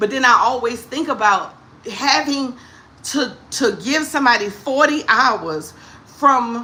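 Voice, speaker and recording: In a New Orleans accent, a woman speaks at a fairly slow pace with a high pitch, ordinary pitch variation, and a bright, sharp, animated, upbeat tone. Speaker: comedic talk show host. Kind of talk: casual livestream talk to viewers.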